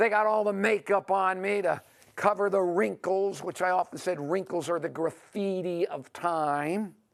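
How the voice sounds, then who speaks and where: A high-pitched man with an American accent, moderate pace and fairly even intonation, on a very clean recording with a silent background. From New York. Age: 60s. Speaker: author and speaker. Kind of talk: monologue.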